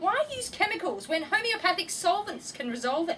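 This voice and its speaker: A woman's raised, projected voice moves at a fairly quick pace with very wide pitch swings. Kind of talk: poetry reading. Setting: live event.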